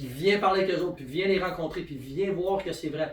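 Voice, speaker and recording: A man with a Quebec accent, high pitch, animated tone, ordinary pitch variation and fairly quick pace, in a room with audible echo. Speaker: network marketing presenter. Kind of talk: sales pitch. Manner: fast.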